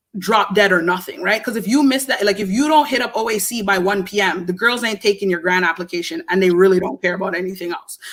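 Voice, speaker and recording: With noticeable background noise behind it, the voice rushes along at a very fast pace in an animated tone with hardly any pauses. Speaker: filmmaker and screenwriter. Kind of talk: casual interview chat.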